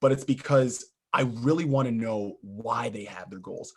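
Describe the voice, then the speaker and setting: The voice has ordinary pitch variation and keeps a moderate pace. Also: man. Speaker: life coach and guest speaker. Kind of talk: presentation to a club meeting. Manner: loud.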